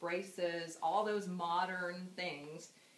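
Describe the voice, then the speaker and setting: With an American accent, a woman speaks at a very slow pace in monotone, flat intonation, while audible room echo and noticeable background noise surround her. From California, US. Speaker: daughter giving a memorial speech. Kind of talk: eulogy. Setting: memorial gathering with audience. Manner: halting.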